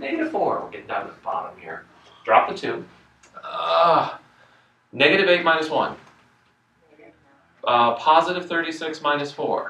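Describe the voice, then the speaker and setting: A man's voice with audible room echo, big swings in loudness, and long, frequent pauses. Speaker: math teacher. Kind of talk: classroom lecture. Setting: classroom with students. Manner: fast.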